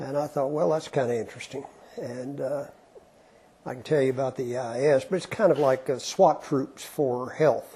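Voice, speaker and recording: Somewhat breathy and fairly high-pitched, a man with an Appalachian accent has a dark, mellow tone. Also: ordinary pitch variation, moderate pace. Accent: Appalachian Southern US. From Eastern Kentucky, Appalachia. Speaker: retired physician and professor. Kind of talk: oral history interview. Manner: conversational, with hesitations.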